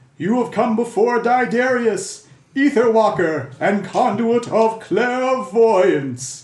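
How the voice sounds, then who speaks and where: A put-on character voice at a fairly slow pace, with slight echo. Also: man. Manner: grand, imposing.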